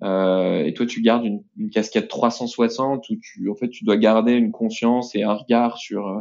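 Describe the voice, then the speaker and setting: In an ordinary speaking voice, a man talks at a fairly slow pace in a medium pitch with fairly even intonation. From France, Nantes. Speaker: entrepreneur, company co-founder. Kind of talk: interview.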